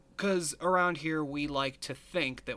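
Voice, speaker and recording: This man has a bright, sharp tone. He speaks with a Northeast Pennsylvania accent. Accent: Northeast Pennsylvania American. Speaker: podcast host. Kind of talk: casual chat.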